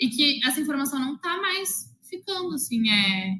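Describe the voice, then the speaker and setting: A woman's high, raised and projected voice with lively intonation. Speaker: math teacher. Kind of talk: interview. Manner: loud.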